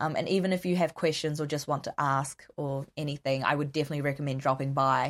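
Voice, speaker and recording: A woman with a New Zealand accent talks at a very fast pace with hardly any pauses, her very deep, low pitch monotone and flat. The recording is very clean, with a silent background. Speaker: counselling student. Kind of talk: interview.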